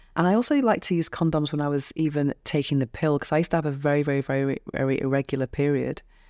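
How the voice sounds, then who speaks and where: In a British accent, a woman speaks at a very fast pace with hardly any pauses and fairly even intonation. Her pitch is very deep and low, her tone dark and mellow, and the sound dry and close with no echo. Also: very clean recording, silent background. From England. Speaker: podcast host. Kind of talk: interview podcast.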